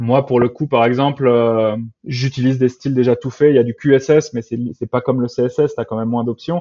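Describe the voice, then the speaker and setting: A man with an unremarkable speaking voice, a moderate pace and fairly even intonation. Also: medium pitch for a man. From France, childhood abroad in Latin America. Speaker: software engineer. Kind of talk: interview.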